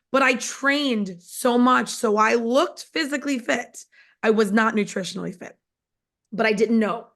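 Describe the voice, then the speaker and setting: A woman's fairly high voice at a moderate pace, with ordinary pitch variation, over a quiet background. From New York, Long Island. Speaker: network marketing distributor. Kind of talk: testimony.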